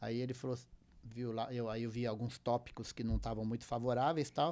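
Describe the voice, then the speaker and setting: A man is speaking. His pace is very fast. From southern Brazil, raised in Paraná. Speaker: musician and music producer. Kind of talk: casual interview chat.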